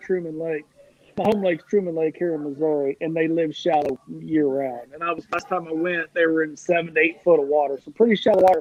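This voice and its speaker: A man speaks with a high pitch and ordinary pitch variation. His pace is fairly quick. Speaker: crappie angler. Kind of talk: casual chat. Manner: fast, animated.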